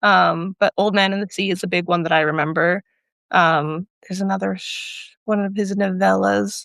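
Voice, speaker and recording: An unremarkable speaking voice from a woman at a medium pitch, moderate pace and fairly even intonation, with a dry, close sound with no echo. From rural Alberta, Canada. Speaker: poet and writer. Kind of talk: casual conversation.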